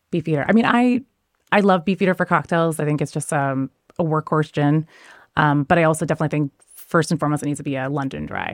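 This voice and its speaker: Very fast and very deep, a woman talks in an American accent with ordinary pitch variation, in a dry, close sound with no echo on a very clean recording with a silent background. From US Pacific Northwest. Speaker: bartender and spirits judge. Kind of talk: casual interview chat.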